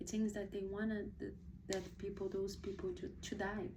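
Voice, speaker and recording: A woman with a Portuguese accent speaks at a medium pitch in a dark, mellow tone, with audible room echo. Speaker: book reviewer, video blogger. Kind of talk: casual book review monologue. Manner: hesitant, many fillers and restarts.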